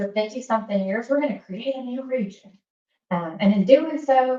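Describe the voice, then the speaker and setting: With a Southern US accent, a woman talks using ordinary pitch variation. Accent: Southern accent, kept. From US South, Alabama. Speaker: government safety regional administrator. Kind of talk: presentation at professional meeting. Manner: casual, many fillers.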